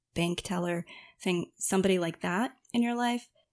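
In a very clean recording with a silent background, a woman speaks at a medium pitch, the sound dry and close with no echo. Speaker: meditation and yoga teacher. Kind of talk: casual interview.

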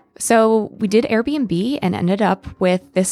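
Here is a woman with a normal speaking voice and an American accent. She talks at a fairly slow pace with lively intonation. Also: very clean recording, silent background. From Pennsylvania, small town. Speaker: exchange program participant. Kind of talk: storytelling anecdote.

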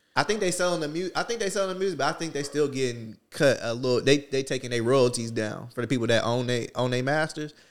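Over a very clean recording with a silent background, a man speaks very fast at a fairly high pitch with lively intonation. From New Jersey. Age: 30s. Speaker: fitness gym owner and ex-fighter. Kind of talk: casual chat.

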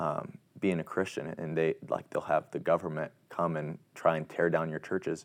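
Speaking with a Midwestern American accent, the voice keeps a moderate pace with hardly any pauses. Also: man. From Indiana, US Midwest. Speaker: college student athlete. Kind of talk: interview. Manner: halting, many fillers and repeats.

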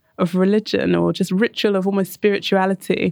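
A woman with a London accent speaks at a medium pitch. The sound is dry and close, with no echo. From North London, England. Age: 30s. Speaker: architect and urban designer. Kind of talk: casual interview conversation.

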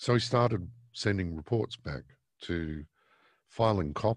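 In a quiet background with a dry, close sound and no echo, a man with an Australian accent speaks at a very deep, low pitch with ordinary pitch variation. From Australia, Victoria. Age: 50s. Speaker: newspaper editor. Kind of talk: interview.

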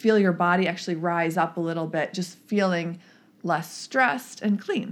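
Speaking at a moderate pace, a woman with a normal speaking voice has a fairly low pitch and ordinary pitch variation. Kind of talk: guided meditation.

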